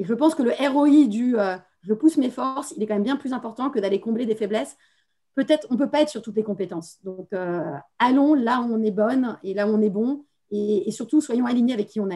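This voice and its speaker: Fairly quick and fairly high in pitch, a woman's voice carries a dark, mellow tone. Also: ordinary pitch variation. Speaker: business executive. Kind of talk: panel discussion. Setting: video call. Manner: fast.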